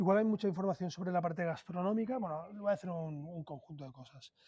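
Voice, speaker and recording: Over music in the background, a man speaks at a high pitch with ordinary pitch variation. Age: 40s. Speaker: food influencer, former banker. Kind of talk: interview conversation.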